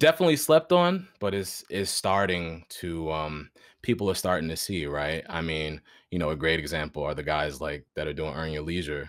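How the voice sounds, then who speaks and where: A man in a New York accent speaks with a very deep, low pitch and fairly even intonation. His pace is moderate, and the recording is very clean with a silent background. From Westchester County, New York (Greenburgh). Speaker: actor and voiceover artist. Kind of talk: casual interview chat.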